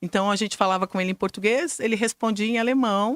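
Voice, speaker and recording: A woman talks with a fairly high pitch. The sound is dry and close with no echo, over a very clean, silent background. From Brazil, Curitiba. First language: German (speaking Portuguese). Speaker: school director and educator. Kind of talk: interview.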